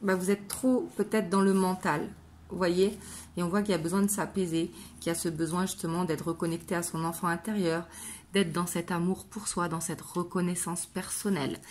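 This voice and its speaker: The woman's fairly low, somewhat breathy voice stays monotone and flat at a moderate pace, in a very clean recording with a silent background. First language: not French (speaking French). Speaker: tarot card reader. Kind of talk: tarot reading. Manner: casual, hesitant with fillers.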